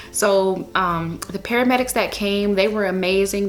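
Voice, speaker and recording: A woman speaks over noticeable background noise. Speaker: lifestyle vlogger. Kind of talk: personal storytelling vlog. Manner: casual, filler-heavy; fast.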